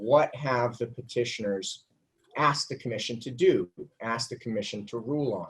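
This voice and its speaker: Moderate pace and medium pitch from a man. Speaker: lawyer. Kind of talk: legal argument at hearing. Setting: video conference. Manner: usually loud. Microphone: too quiet.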